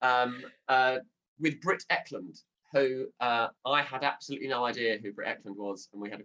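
With a southern English accent, a man speaks at a moderate pace in a bright, sharp tone with ordinary pitch variation. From Southend, Essex, England. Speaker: radio presenter and comedian. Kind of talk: comedy panel show chat. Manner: slips into radio-presenter delivery.

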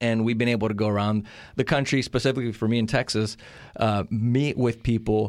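A man's normal speaking voice at medium pitch, with fairly even intonation and a fairly quick pace, in a very clean recording with a silent background. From California (born in Monterrey, Mexico). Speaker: policy advocacy spokesperson. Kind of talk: interview.

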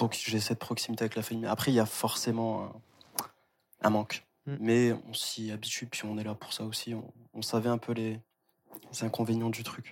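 This man speaks at a moderate pace in a medium pitch. His intonation is monotone and flat. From France. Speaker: university student. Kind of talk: casual chat.

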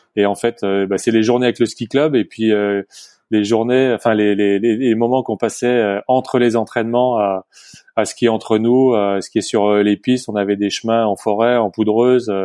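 Monotone, flat intonation from a man at a medium pitch, fairly slow in pace, with very even loudness. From Haute-Savoie, French Alps. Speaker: former ski racer and entrepreneur. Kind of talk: interview. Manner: hesitant.

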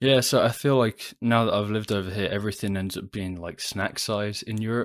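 The recording is very clean, with a silent background. A man with a plain, everyday voice speaks at a fairly quick pace, his fairly low pitch held in fairly even intonation. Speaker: podcast guest. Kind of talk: casual chat.

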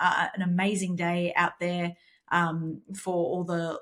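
With an Australian accent, a woman speaks in a fairly low, somewhat breathy voice. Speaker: horse racing podcast co-host. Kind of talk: casual chat.

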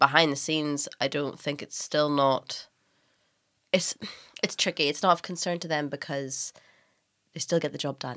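On a very clean recording with a silent background, a woman with a very deep, low pitch and a bright, sharp tone talks with fairly even intonation, big swings in loudness, and long, frequent pauses. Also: moderate pace. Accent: Northern Irish. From Northern Ireland. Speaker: writer, stylist and documentary maker. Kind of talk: casual interview chat.

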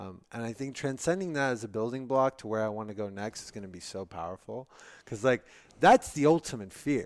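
A man talks at a fairly quick pace in an ordinary speaking voice of medium pitch. His loudness swings widely in a very clean recording with a silent background. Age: 30s. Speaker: entrepreneur, brain surgery patient. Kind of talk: casual interview.

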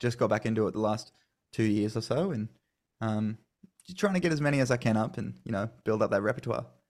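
A man's medium-pitched voice with an Australian accent, on a very clean recording with a silent background. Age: 20s. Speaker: country singer-songwriter. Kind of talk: interview.

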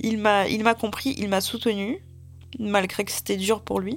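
Her intonation is monotone and flat. The woman keeps a moderate pace. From Siberia, Russia (Tyumen). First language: Russian (speaking French). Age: 20s. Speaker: volunteer translator. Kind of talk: testimony. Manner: halting.

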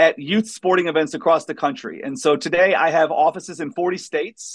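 A man's high voice with an American accent, ordinary pitch variation and a moderate pace. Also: quiet background. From US Midwest, southeast Missouri. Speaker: entrepreneur. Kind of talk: interview.

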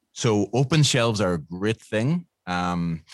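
A man with a Northern Irish accent, dry, close sound with no echo, and a quiet background. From Northern Ireland. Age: 50s. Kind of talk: interview.

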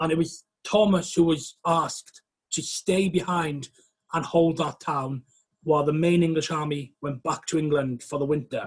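Speaking with a Welsh accent, a man uses a high pitch at a moderate pace. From West Wales. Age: 30s. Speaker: historian and author. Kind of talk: interview. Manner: hesitant, many fillers.

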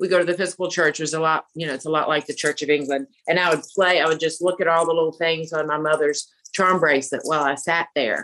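A woman with a Southern US accent talks very fast with hardly any pauses, her very deep, low voice flat and monotone. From US South, Alabama. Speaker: fashion consultant and speaker. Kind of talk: casual interview. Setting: remote call.

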